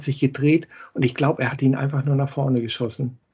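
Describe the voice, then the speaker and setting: At a fairly quick pace, a man speaks in a somewhat breathy, fairly high-pitched voice. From Hamburg, northern Germany. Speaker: football fan guest. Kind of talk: casual chat.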